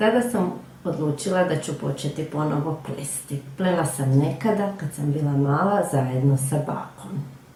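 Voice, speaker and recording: A woman with a very deep, low pitch speaks at a moderate pace over noticeable background noise. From Croatia, Rijeka. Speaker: knitting teacher. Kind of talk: personal testimony. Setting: pre-recorded video.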